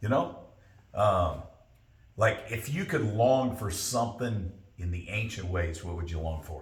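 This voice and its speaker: A man with a fairly low pitch speaks at a fairly slow pace with lively intonation. Long, frequent pauses break up his speech, and audible room echo surrounds it. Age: 60s. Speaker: podcast co-host. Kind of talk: casual chat.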